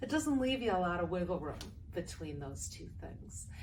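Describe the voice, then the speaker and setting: Audible room echo surrounds a woman's voice. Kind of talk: personal testimony. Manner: loud.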